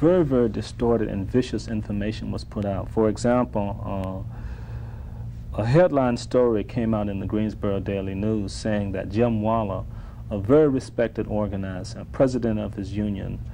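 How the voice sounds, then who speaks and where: A man talks at a moderate pace in a fairly low pitch. His pitch varies in an ordinary way, with light background noise behind him. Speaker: interview guest. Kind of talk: interview answer. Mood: serious, measured, critical. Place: studio.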